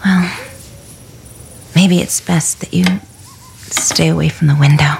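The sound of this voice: A woman's put-on character voice, low-pitched with vocal fry, fairly even intonation and a slow pace.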